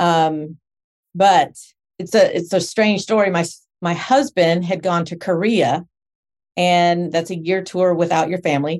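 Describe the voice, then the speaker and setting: Using a plain, everyday voice, a woman with a fairly low pitch and ordinary pitch variation speaks at a fairly slow pace. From Texas (Spring, north of Houston). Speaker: home care business owner. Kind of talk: casual interview.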